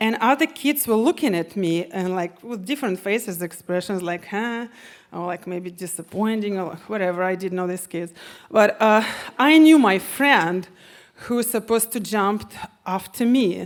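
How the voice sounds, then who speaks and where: The speaker has a Russian accent and lively intonation. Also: woman, medium pitch for a woman, moderate pace. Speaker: storyteller. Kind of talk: live storytelling on stage.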